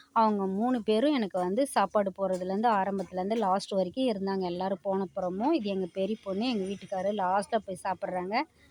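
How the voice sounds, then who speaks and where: A woman with a normal speaking voice talks at a medium pitch with fairly even intonation, in a dry, close sound with no echo. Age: 50s. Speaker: homemaker vlogger. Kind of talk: casual video vlog narration.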